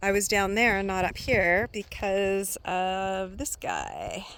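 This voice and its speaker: A soft-spoken woman with a Canadian accent talks very slowly at a medium pitch. The recording is very clean with a silent background. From Canada. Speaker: van-life vlogger. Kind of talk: casual vlog talk to camera. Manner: hesitant with many fillers.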